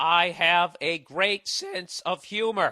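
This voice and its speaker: A man shouts in a put-on character voice, high-pitched with fairly even intonation. He goes at a very slow pace, and the sound is dry and close with no echo. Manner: yelling, all caps.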